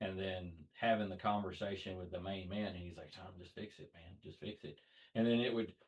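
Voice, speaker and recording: A man at a moderate pace, with a Southern accent. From US South. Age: 30s. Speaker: car fabricator. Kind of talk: podcast interview. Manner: hesitant, with many fillers.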